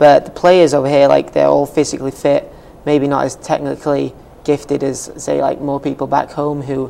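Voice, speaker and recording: Moderate pace in a Welsh accent, with noticeable background noise behind it. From Wales. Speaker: college soccer player. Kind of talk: interview. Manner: hesitant, many fillers.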